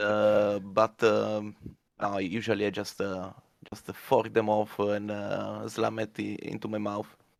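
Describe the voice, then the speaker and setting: A man's fairly low voice, very slow and monotone, with flat intonation. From Italy. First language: Italian. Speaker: community member on a mining podcast. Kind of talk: casual chat. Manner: halting with many fillers.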